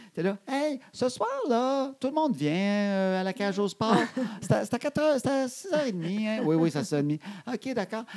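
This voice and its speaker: The speaker has a Quebec accent and very wide pitch swings at a very slow pace. Noticeable background noise sits underneath. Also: man, high pitch for a man. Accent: Québécois French. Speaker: podcast co-host. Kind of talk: casual chat.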